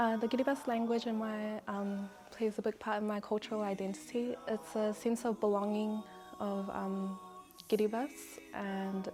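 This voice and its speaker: Music plays in the background as the speaker talks with a New Zealand accent. The pace is moderate and the intonation fairly even. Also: woman. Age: 20s. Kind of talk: interview answer.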